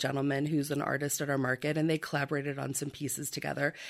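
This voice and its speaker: A woman with a very deep, low pitch speaks at a very fast pace in a monotone, flat intonation, on a very clean recording with a silent background. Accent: Midwestern American. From rural southern Iowa. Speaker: antique and art shop owner. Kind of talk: radio interview.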